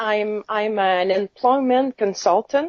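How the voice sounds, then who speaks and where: Very slow woman's voice in a Quebec accent, fairly high in pitch, with ordinary pitch variation. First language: French. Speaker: caregiver advocate. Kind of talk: interview.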